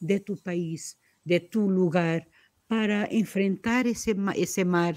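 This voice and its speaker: A woman with a Portuguese accent has a dark, mellow tone and ordinary pitch variation. The recording is very clean, with a silent background. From Portugal. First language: Portuguese (speaking Spanish). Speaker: poet. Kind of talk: interview. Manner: halting.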